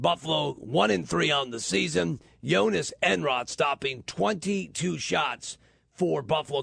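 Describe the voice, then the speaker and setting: A man's medium-pitched voice with vocal fry, very wide pitch swings, and a fairly slow pace. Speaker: radio sports reporter. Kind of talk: radio sports report.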